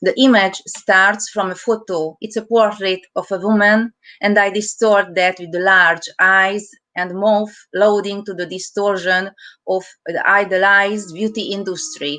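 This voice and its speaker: A woman with a Hungarian accent speaks at a fairly slow pace, using a bright, sharp tone, a medium pitch and fairly even intonation. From Hungary. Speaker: artist. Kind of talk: reading aloud artist statement.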